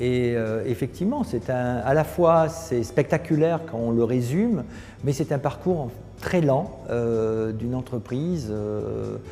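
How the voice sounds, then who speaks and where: Over background music, a man at medium pitch talks at a very slow pace with lively intonation. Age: 60s. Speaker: company founder. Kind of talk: interview monologue. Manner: hesitant, many fillers.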